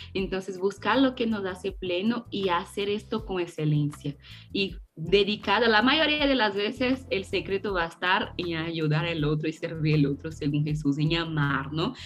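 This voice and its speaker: Over noticeable background noise, a woman with a Brazilian accent speaks at a moderate pace in a fairly low pitch with lively intonation. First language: Portuguese (speaking Spanish). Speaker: theologian. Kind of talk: faith podcast interview.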